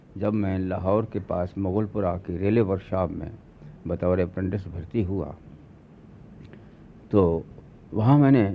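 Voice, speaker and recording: A man with a very deep, low pitch talks in a fairly even intonation, leaving long, frequent pauses. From Lahore, Punjab. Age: 70s. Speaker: short story writer, retired railwayman. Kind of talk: interview reminiscence.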